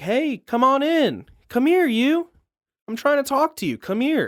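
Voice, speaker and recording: High-pitched and put-on, this character voice drawls at a fairly slow pace. The recording is very clean, with a silent background. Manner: slow southern drawl, beckoning.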